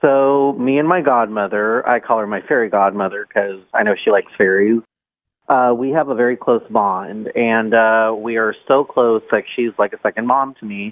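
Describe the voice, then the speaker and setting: A man talks in a normal speaking voice at medium pitch and a moderate pace. His pitch varies in an ordinary way. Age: 20s. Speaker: caller. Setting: phone call.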